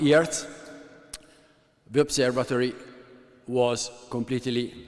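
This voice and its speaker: This man speaks at a medium pitch with an Italian accent. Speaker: computer scientist running a university observatory. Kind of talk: conference talk. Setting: workshop presentation with slides. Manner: halting, many filler sounds.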